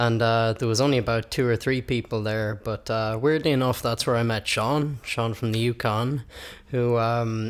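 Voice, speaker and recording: A man's monotone, flat delivery at medium pitch, with very even loudness, a moderate pace and an Irish accent. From Ireland. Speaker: musician and open mic host. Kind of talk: interview. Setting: studio.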